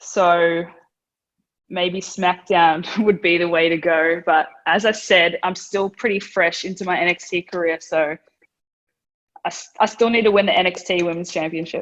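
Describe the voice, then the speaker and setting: A woman speaks with an Australian accent in a fairly low voice. Her intonation stays fairly even. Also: moderate pace. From Australia, Melbourne. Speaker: professional wrestler. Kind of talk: interview. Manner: casual, hesitant.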